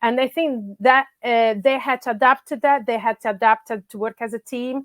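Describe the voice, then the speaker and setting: A woman speaks in an Italian accent with ordinary pitch variation. The recording is very clean with a silent background and a dry, close sound with no echo. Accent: Italian accent, noticeable. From Italy. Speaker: grassroots soccer coach. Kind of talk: podcast interview. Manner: halting, many fillers.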